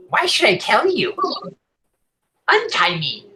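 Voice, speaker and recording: In a put-on character voice, a man speaks at a fairly slow pace with an extremely high pitch. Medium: actual play. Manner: arrogant, defiant.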